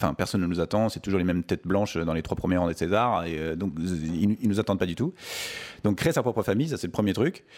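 Here is a man with a very deep, low pitch. He talks at a very fast pace. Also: ordinary pitch variation. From Paris suburbs, France. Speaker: film director. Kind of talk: interview.

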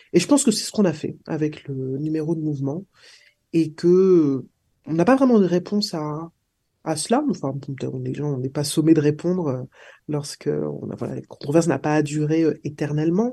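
A woman with a very deep, low pitch speaks at a moderate pace. Her pitch variation is ordinary, and the background is quiet. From Martinique. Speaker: political scientist. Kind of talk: interview. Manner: halting.

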